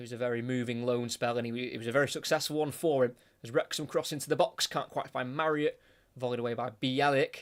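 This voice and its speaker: At a very fast pace, a man speaks in a British accent with fairly even intonation on a very clean recording with a silent background. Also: medium pitch for a man. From Britain. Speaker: football commentator. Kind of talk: live commentary.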